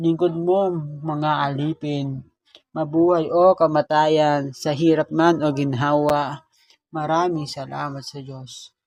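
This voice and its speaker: At a very slow speed, the voice goes on with music in the background. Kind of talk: spoken-word poetry. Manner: emotional, heartfelt.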